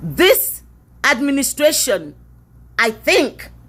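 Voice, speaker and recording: At a very slow pace, a woman delivers her words. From Nigeria. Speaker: commentator. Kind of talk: opinion monologue. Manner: emphatic.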